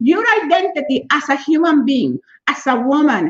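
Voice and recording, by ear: A woman with a high voice talks at a moderate pace.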